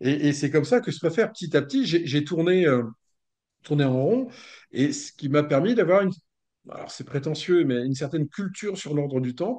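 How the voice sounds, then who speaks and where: A man's fairly high-pitched voice, dark and mellow in tone, with lively intonation, a fairly quick pace, long and frequent pauses, and a quiet background. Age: 60s. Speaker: author and researcher of esoteric history. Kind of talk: interview. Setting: video call. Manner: hesitant, many fillers and repetitions.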